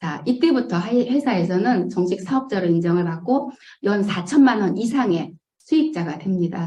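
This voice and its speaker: A woman speaks at a moderate pace with lively intonation. Her tone is dark and mellow, and somewhat breathy. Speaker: network marketing distributor. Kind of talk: business presentation. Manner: hesitant fillers.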